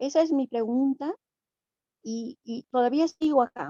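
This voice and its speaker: With music in the background, the speaker uses an Andean accent and ordinary pitch variation. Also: woman. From Bolivia, Aymara community of Chirapaca (Andean highlands). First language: Aymara (speaking Spanish). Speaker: invited panelist in a theology dialogue. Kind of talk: panel discussion, commenting and asking questions. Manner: halting, with many fillers and restarts.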